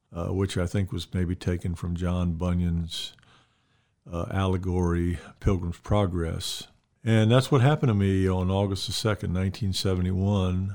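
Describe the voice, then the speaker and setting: A dark, mellow voice with an Alabama accent moves at a moderate pace with fairly even intonation over a silent background in a very clean recording. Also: man, very deep, low pitch for a man. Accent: Southern US (Alabama). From US South, Mobile, Alabama. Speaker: retiring pastor. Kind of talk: casual interview about faith and ministry.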